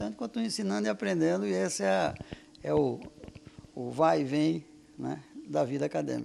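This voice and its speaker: Speaking at a fairly quick pace, the man's voice makes very wide pitch swings. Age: 60s. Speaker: physics professor and researcher. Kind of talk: interview. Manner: hesitant, many fillers.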